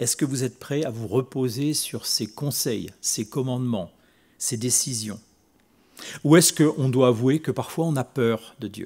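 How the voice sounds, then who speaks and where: At a fairly slow pace, a man speaks in a medium pitch with ordinary pitch variation, in a very clean recording with a silent background. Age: 60s. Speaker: preacher. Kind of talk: sermon. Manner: halting, with repetitions.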